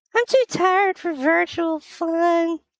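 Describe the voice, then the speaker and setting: A woman uses a squeaky, put-on character voice with an extremely high pitch, speaking at a fairly slow pace. The sound is dry and close, with no echo. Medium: audio drama. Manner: warm, laughing.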